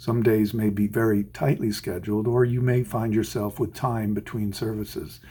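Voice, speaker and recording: A man speaks at a moderate pace with hardly any pauses, his pitch fairly low and his intonation fairly even. His tone is dark and mellow, somewhat breathy. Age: 60s. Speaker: orchestral violinist. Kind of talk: scripted advice talk. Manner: measured, formal.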